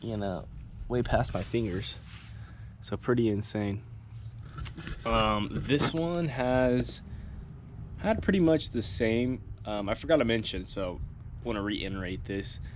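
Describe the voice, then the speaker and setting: A man with an American accent uses lively intonation at a fairly slow pace, leaving long, frequent pauses amid audible room echo. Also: medium pitch for a man. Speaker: lawn care youtuber. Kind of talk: casual lawn care vlog. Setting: outdoors.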